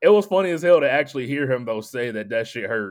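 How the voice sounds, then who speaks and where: Medium in pitch, a man speaks in a plain, everyday voice. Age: 30s. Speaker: podcast co-host. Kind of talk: casual chat.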